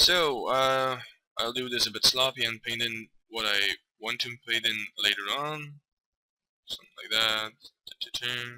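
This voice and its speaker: A man speaks at a medium pitch and fairly slow pace, with fairly even intonation and long, frequent pauses. His bright, sharp tone sounds dry and close with no echo. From Belgium. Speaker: amateur Photoshop tutorial maker. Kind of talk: tutorial. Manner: hesitant, many fillers (um, uh).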